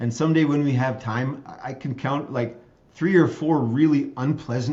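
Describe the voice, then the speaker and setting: A man with an American accent speaks at a moderate pace, his voice somewhat breathy. His intonation is fairly even, and there is audible room echo. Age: 60s. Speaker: state legislator and optometrist. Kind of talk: interview conversation.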